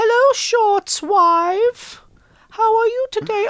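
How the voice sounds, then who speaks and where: In a put-on character voice, a female-sounding speaker goes squeaky and extremely high in pitch, with a playful tone at a very slow pace. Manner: silly, playful.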